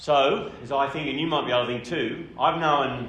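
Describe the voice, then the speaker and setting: This man talks at a moderate pace with an Australian accent and a medium pitch. His pitch variation is ordinary, and there is audible room echo. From Australia, New South Wales country town. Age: 60s. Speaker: speaker. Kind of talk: seminar talk. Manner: casual.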